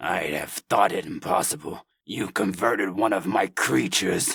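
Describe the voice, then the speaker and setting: A man puts on a growling, raspy character voice at a moderate pace. His pitch sits fairly low. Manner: growling, indignant.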